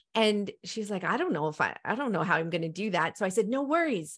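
A woman talks fairly quickly at a medium pitch in a normal speaking voice. The background is quiet. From Africa, then Canada. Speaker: nutrition practitioner, podcast host. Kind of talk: interview conversation.

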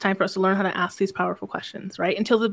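Soft-spoken and at medium pitch, a woman is heard. The recording is very clean, with a silent background. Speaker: podcast host and business mentor. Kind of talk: casual interview chat about sales and mindset. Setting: live radio broadcast conversation. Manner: calm, soft-spoken, introverted.

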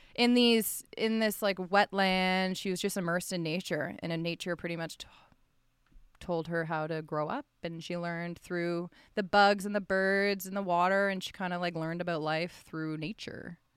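In a Canadian accent, a woman with a plain, everyday voice and fairly low pitch talks at a moderate pace with fairly even intonation on a very clean recording with a silent background. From Ottawa, Ontario, Canada. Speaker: sports broadcaster, former university hockey player. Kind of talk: casual interview.

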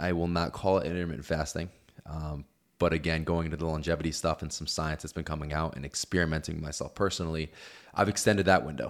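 Speaking at a very fast pace, the man has a very deep, low pitch. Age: 30s. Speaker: podcast host and online health coach. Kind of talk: casual chat.

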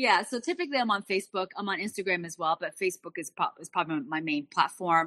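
With a bright, sharp tone and lively intonation, a woman at medium pitch races along at a very fast pace with hardly any pauses, the sound dry and close with no echo. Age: 50s. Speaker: health and fitness coach. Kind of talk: casual interview chat.

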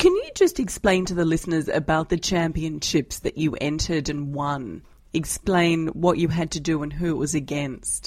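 A woman speaks in an Australian accent with a very deep, low pitch and fairly even intonation. Her pace is moderate, with hardly any pauses. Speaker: financial journalist, podcast host. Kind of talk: interview.

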